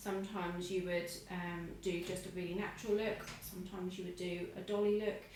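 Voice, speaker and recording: Noticeable background noise and audible room echo surround speech delivered at a fairly quick pace with fairly even intonation. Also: woman. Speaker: eyelash technician. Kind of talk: tutorial. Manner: muffled. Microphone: wearing a face mask, muffled.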